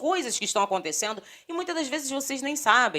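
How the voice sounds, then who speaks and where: A woman's bright, sharp tone at a fairly quick pace, with very wide pitch swings. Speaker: political commentary vlogger. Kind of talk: casual vlog commentary.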